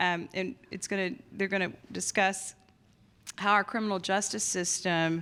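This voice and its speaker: A woman with a Southern accent speaks at a fairly slow pace with medium pitch and monotone, flat intonation in a very clean recording with a silent background. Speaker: judge, mental health commission chair. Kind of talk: conference opening remarks.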